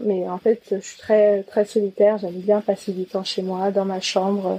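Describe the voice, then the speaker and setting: Dark and mellow, a woman's voice holds a medium pitch with monotone, flat intonation. She speaks at a fairly slow pace, and the sound is dry and close with no echo. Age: 20s. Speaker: podcast guest. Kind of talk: intimate interview, personal testimony. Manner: halting, many hesitations.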